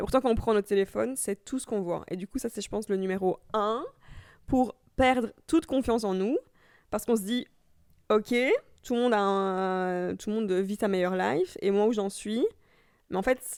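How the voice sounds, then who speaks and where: On a very clean recording with a silent background and a dry, close sound with no echo, a woman speaks at a moderate pace in a medium voice with ordinary pitch variation and big swings in loudness. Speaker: podcaster. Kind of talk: casual chat. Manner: soft-spoken, calm.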